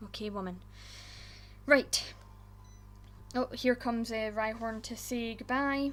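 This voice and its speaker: Fairly even intonation marks this voice with a Scottish accent. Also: woman. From Scotland. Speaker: gaming YouTuber. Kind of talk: casual gameplay commentary.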